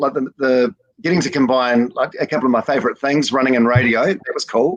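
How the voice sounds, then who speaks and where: Recorded with a dry, close sound and no echo, a man with a New Zealand accent speaks at medium pitch and a fairly quick pace. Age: 40s. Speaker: breakfast radio host. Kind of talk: casual interview chat. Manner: halting, many fillers and repeats.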